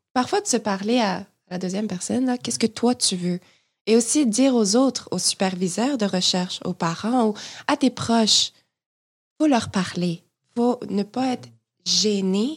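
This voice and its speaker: A woman with a fairly high, somewhat breathy voice speaks at a fairly slow pace with long, frequent pauses on a very clean recording with a silent background. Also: ordinary pitch variation. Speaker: podcast co-host, graduate student. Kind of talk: casual interview.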